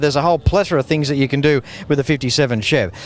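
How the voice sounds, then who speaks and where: Talking very fast in an enthusiastic tone, a man with an Australian accent is heard over noticeable background noise. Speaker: car show TV host. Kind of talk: casual interview.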